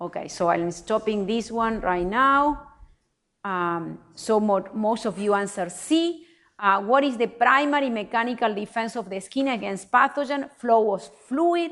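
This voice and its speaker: A normal speaking voice from a woman, fairly high-pitched, with lively intonation, a fairly slow pace and a quiet background. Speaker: professor. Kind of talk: lecture.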